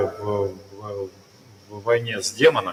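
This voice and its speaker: A man with a Russian accent speaks at a moderate pace over noticeable background noise. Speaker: interpreter. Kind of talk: live interpretation. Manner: halting.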